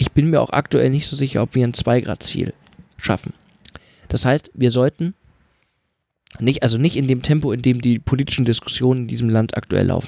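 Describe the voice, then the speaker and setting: At a fairly quick pace with long, frequent pauses, a man speaks at a medium pitch with fairly even intonation, the sound dry and close with no echo. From rural Germany. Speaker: podcast co-host. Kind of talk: casual political discussion.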